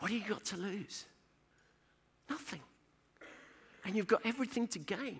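Using a London accent, a man with a high voice talks at a moderate pace with ordinary pitch variation and long, frequent pauses. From East London. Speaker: church speaker. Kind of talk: pep talk, exhortation to act in faith. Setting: conference stage with audience. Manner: urgent, rousing, emphatic.

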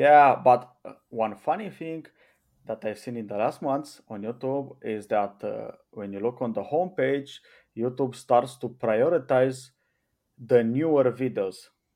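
Speaking fairly slowly with a Romanian accent, a man uses a medium pitch, ordinary pitch variation and a dark, mellow tone over a quiet background. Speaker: YouTube channel owner. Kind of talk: casual chat.

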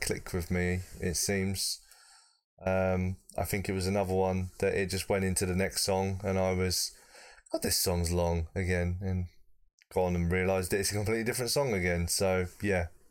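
Very deep and low, a man's voice comes in a British accent at a moderate pace. Loudness stays very even on a very clean recording with a silent background. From Britain. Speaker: podcast co-presenter reviewing music. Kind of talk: casual chat.

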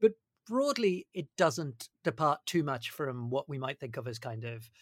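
In a very clean recording with a silent background, a man with a plain, everyday voice speaks at a moderate pace, his pitch fairly high and his intonation lively. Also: dry, close sound with no echo. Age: 40s. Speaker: podcast host. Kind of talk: interview.

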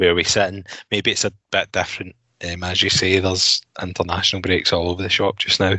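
With a Glasgow accent, a man speaks very fast in a very deep, low pitch and a monotone, flat intonation. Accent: Scottish (Glasgow area). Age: 30s. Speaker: football fan pundit. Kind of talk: casual chat.

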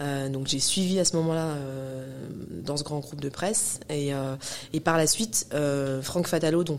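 A woman talks at a very slow pace. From Paris suburbs, Val-de-Marne (94). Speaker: hip-hop cultural manager and entrepreneur. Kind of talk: interview conversation. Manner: hesitant, many fillers and repetitions.

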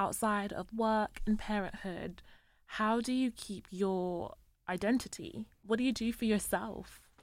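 Speaking in a plain, everyday voice, a woman talks at a fairly slow pace and fairly high pitch with fairly even intonation, recorded very cleanly over a silent background. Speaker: podcast co-host. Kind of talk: casual interview conversation.

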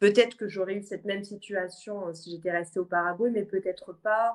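At a moderate pace, a woman speaks in a normal speaking voice with fairly even intonation. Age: 20s. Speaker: adoptee. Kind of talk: casual chat.

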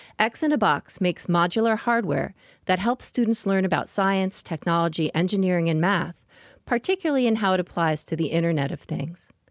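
With an ordinary speaking voice, a woman talks at a fairly quick pace with lively intonation. The recording is very clean, dry and close, with no echo and a silent background. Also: medium pitch for a woman. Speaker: podcast interviewer. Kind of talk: interview.

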